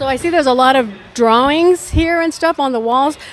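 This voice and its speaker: Noticeable background noise surrounds the speech. It runs at a fairly quick pace, its pitch varying in an ordinary way. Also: woman. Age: 60s. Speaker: entertainment interviewer. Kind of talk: interview. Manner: animated.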